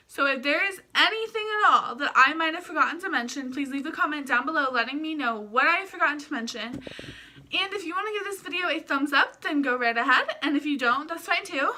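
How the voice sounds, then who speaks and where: A woman speaks in a raised, projected voice at a high pitch. Her pace is very fast and her intonation lively. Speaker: vlogger. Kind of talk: casual vlog talk to camera. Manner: sometimes stumbles over words.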